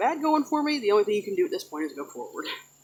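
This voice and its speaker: A woman talks at a very fast pace. Noticeable background noise runs underneath her. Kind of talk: casual talk to camera. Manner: hesitant, stumbling.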